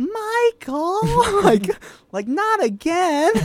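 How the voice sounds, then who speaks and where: The put-on character voice sits at an extremely high pitch, swinging very widely. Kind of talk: 70s sitcom voice.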